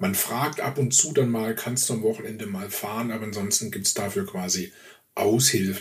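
Over noticeable background noise, a man talks at a medium pitch and moderate pace with lively intonation. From Swabia, southern Germany. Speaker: podcast co-host. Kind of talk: casual chat.

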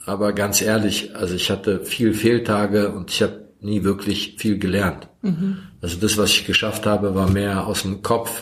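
A man's flat, monotone delivery with a Croatian accent. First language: Croatian (speaking German). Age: 40s. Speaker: recovering addict. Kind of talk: testimony. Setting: self-help group room. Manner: soft-spoken.

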